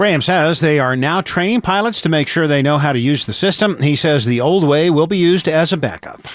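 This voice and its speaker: At a fairly quick pace with hardly any pauses, a man with a plain, everyday voice speaks at a fairly high pitch with ordinary pitch variation and very even loudness. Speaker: radio news anchor. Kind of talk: radio news anchoring.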